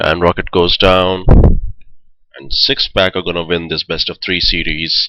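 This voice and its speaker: The delivery is monotone and flat, at a fairly slow pace with long, frequent pauses. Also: man, very deep, low pitch for a man. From India. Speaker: esports shoutcaster. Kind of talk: live commentary. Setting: live stream.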